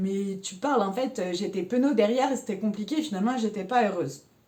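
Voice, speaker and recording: A woman speaks with lively intonation. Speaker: life coaching vlogger. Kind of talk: casual personal talk to camera. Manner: energetic, rises into high pitch.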